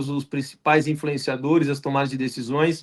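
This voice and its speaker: The intonation stays fairly even throughout. A man delivers it at a moderate pace. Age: 40s. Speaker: podcast host. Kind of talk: podcast interview. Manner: halting, many fillers.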